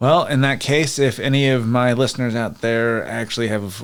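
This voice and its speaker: Intonation stays fairly even as a man talks at a moderate pace over noticeable background noise. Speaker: podcast host. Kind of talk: casual chat. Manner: occasionally slurs or trips over words.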